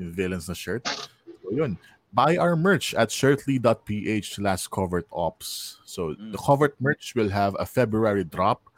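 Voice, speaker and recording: With a Filipino accent, a man talks at a very slow pace and medium pitch, using lively intonation. The sound is dry and close, with no echo. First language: Tagalog. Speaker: podcast host and magician. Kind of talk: casual chat. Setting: live stream.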